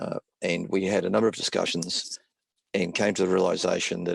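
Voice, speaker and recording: Fairly low-pitched and fairly quick, a man speaks with an Australian accent. The sound is dry and close, with no echo. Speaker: business consultant. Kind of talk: webinar presentation.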